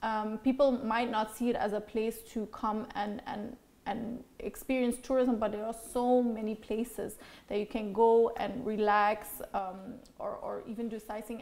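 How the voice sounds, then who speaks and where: A woman talks in a fairly high pitch with monotone, flat intonation. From Belgium. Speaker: TV host and former beauty queen; TV host. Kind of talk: interview. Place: office.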